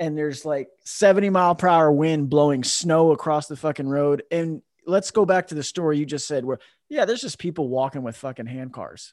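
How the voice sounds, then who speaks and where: In a quiet background, a man with an unremarkable speaking voice talks at a fairly quick pace with ordinary pitch variation. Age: 40s. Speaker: podcast host. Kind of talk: casual chat. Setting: video call.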